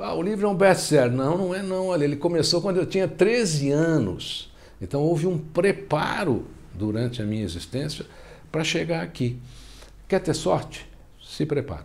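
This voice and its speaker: A man speaks at a moderate pace with lively intonation and a fairly high pitch, with audible room echo. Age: 60s. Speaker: self-help author. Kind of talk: interview.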